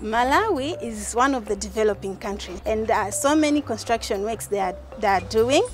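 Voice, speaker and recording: Clear music plays in the background as the speech moves at a fairly quick pace with hardly any pauses. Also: woman, dry sound with no echo. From Malawi. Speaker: university student. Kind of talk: interview answer. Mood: smiling, grateful. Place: street.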